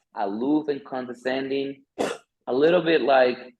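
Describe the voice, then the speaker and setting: In a Spanish accent, a man speaks at a moderate pace and medium pitch. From Dominican Republic, La Vega. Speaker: architect, interview guest. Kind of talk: interview on video call. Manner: halting, many fillers and repeats.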